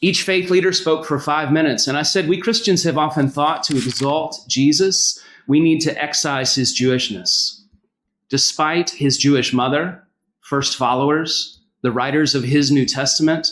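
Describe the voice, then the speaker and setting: Moderate-paced speech in a Southern US accent, with very even loudness and ordinary pitch variation on a very clean recording with a silent background. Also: man, fairly high pitch for a man. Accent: Southern US accent, noticeable. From US South, North Carolina. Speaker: pastor. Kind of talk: public speech.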